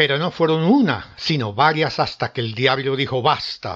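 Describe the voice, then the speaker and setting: A man speaks at a fairly slow pace in a fairly high voice. His tone is dramatic, with lively intonation. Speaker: storyteller narrator. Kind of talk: ghost story telling, scripted narration of a legend. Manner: dramatic, suspenseful, acting out the devil and Jack in different tones.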